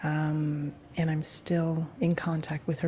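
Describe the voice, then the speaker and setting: A woman speaks in a very deep, low register with a dark, mellow tone. Her voice is somewhat breathy. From Hawaii. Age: 40s. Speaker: interviewee, mother. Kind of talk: recorded oral history interview. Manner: halting, many fillers.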